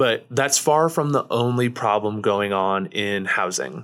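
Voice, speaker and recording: A man with a Midwestern American accent talks at a very slow pace in a medium pitch. His tone is bright and sharp, and the recording is very clean with a silent background. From Missouri, small town. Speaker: nonprofit founder. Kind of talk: interview.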